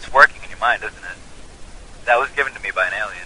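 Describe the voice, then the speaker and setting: A male voice over noticeable background noise. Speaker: online activist. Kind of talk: casual chat. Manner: fast; animated.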